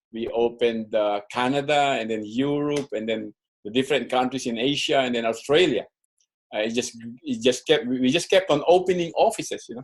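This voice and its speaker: Medium in pitch, a man speaks with ordinary pitch variation. His pace is fairly quick. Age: 60s. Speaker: network marketing distributor. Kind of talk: training presentation. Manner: halting, with frequent repetitions.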